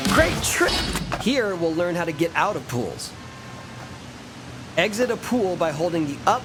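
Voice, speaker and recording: Over noticeable background noise, a man with a high voice speaks in an upbeat tone with lively intonation. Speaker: professional skateboarder. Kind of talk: video game tutorial narration. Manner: upbeat, encouraging.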